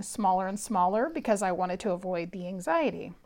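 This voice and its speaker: A woman with a Californian accent on a very clean recording, silent behind her. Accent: Californian American. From San Francisco Bay Area, California. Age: 50s. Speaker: psychic and spiritual teacher. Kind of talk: solo podcast monologue, personal story.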